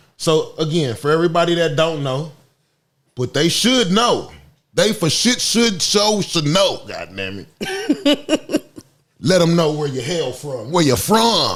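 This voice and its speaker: With an American accent, a man speaks at a fairly slow pace in a high pitch, his voice making very wide pitch swings. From California. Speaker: podcast host. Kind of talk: casual chat.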